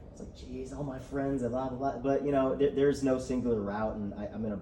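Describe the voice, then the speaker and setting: Amid noticeable background noise and audible room echo, a man speaks at a fairly quick pace. His voice is medium in pitch with ordinary pitch variation. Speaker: student club president. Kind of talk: speech. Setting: room with audience, no microphones. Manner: loud. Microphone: no mic, speaking from the chest.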